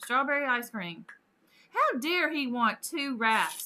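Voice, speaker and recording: A woman speaks in a raised, projected voice with a high pitch. Her tone is bright and sharp, and her pace is fairly slow. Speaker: gaming streamer. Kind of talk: live stream casual chat. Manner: animated.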